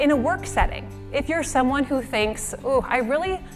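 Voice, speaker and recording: A woman's high, upbeat and energetic voice with lively intonation at a moderate pace, music in the background. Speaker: motivational keynote speaker. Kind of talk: motivational keynote talk and interview answers. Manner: upbeat, energetic.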